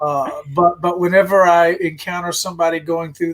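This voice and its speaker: Over music in the background, a man with an American accent speaks at a fairly quick pace in a high voice for a man. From US South (Virginia). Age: 60s. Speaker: life coach and consultant. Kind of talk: interview. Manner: halting, repeats words.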